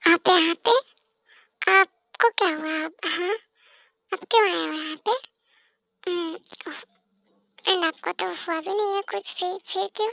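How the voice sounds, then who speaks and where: Using a put-on character voice at an extremely high pitch, a woman speaks at a moderate pace with long, frequent pauses, the sound dry and close with no echo. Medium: audio drama. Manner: scolding, sharp.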